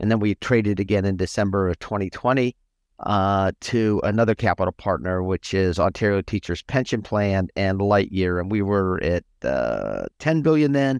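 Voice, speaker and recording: A man with a fairly low pitch talks at a moderate pace with lively intonation and hardly any pauses. The sound is dry and close with no echo, over a quiet background. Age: 60s. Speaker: financial firm CEO and advisor. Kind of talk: interview. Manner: halting, many fillers.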